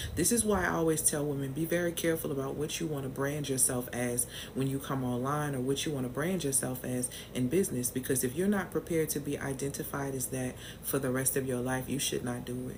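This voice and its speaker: A woman's very deep, low voice at a fairly quick pace, with audible room echo and music in the background. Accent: American. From US South, New Orleans. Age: 40s. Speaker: business and mindset coach. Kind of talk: live stream talk to viewers. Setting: livestream. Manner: animated.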